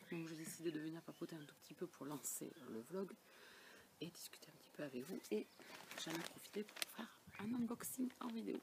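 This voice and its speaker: A soft-spoken woman with a fairly low pitch talks at a moderate pace, her pitch swinging very widely and her loudness shifting a lot. Long, frequent pauses break up her speech, and there is noticeable background noise. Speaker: book vlogger. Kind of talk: casual vlog chat.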